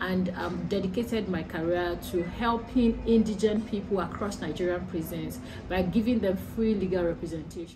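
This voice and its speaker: Backed by music and audible room echo, a woman speaks at a medium pitch and moderate pace with fairly even intonation and hardly any pauses. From Nigeria, Ekiti State. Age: 30s. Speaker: human rights lawyer. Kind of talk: interview testimony.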